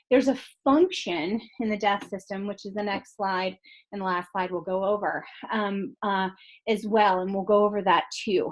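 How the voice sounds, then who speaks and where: With fairly even intonation and a medium pitch, a woman speaks in a normal speaking voice at a moderate pace. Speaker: college instructor. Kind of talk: lecture. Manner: many filler ums.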